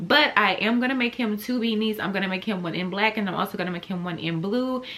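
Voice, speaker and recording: A woman's animated tone with very wide pitch swings at a fairly quick pace, amid noticeable background noise. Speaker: crochet vlogger. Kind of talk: casual vlog chat. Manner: fast.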